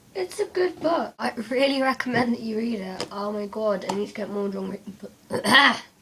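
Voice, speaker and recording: Noticeable background noise sits under this woman's voice. She speaks at a fairly high pitch with ordinary pitch variation. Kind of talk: casual talk to camera.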